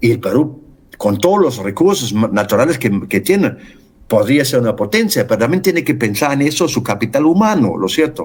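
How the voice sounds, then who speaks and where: At a fairly quick pace, a man speaks at a medium pitch with very wide pitch swings and very even loudness. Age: 70s. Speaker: writer and environmental activist. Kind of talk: interview. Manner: halting, many fillers.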